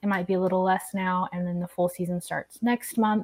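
A woman with an American accent and a normal speaking voice, at a fairly quick pace, with fairly even intonation. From Oklahoma. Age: 30s. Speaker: podcast host. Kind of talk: casual chat.

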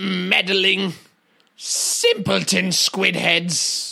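A man performs a put-on character voice. He speaks at a very slow pace. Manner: arrogant, haughty.

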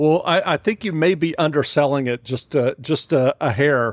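The sound is dry and close, with no echo. A man with an ordinary speaking voice talks at a moderate pace with ordinary pitch variation. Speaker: podcast host. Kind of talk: interview.

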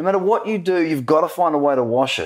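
Someone with an Australian accent speaks at a fairly quick pace. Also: man. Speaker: podcast host. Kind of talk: casual interview. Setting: at a conference in Dubai.

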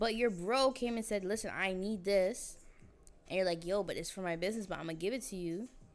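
Music plays in the background as a woman talks at a fairly quick pace. Her pitch is medium, with ordinary variation. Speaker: podcast host. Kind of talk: casual chat. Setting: barber shop, filmed. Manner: fast talker.

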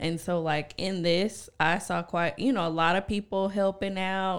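A normal speaking voice moves at a fairly slow pace with fairly even intonation on a very clean recording with a silent background. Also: woman. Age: 20s. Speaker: podcast co-host and teacher. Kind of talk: casual chat.

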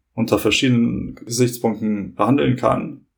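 A man speaks at a moderate pace with fairly even intonation. His voice has vocal fry. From Hamburg, northern Germany (born in Kosovo). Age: 30s. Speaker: law student. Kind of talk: podcast interview.

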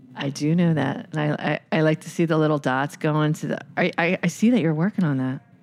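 A woman with an American accent speaks fairly quickly at a very deep, low pitch with ordinary variation, against noticeable background noise. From Philadelphia. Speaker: podcast co-host. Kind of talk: casual chat.

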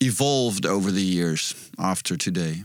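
Heard on a very clean recording with a silent background, a man with a Dutch accent speaks fairly slowly in a bright, sharp tone. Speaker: podcast co-host. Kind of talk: interview. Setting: studio. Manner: halting.

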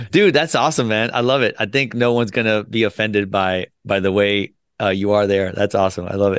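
Over a quiet background, a man with an ordinary speaking voice talks fairly quickly at a fairly low pitch, with ordinary pitch variation and hardly any pauses. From US, moved from Colombia at age two. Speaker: business founder, Air Force veteran. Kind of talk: podcast interview. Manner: casual, many fillers and repeats.

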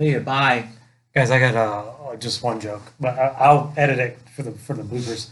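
At a fairly slow pace, a man with a normal speaking voice talks at medium pitch with fairly even intonation and big swings in loudness. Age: 40s. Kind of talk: casual chat with jokes.

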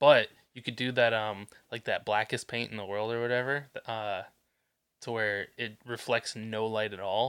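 This very clean recording with a silent background carries a bright, sharp tone and fairly even intonation. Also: man. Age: 30s. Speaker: podcast co-host. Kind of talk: casual chat. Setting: bedroom in a new apartment.

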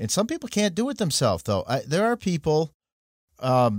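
A man's voice with very wide pitch swings, on a very clean recording with a silent background and a dry, close sound with no echo. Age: old. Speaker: podcast host. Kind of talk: interview.

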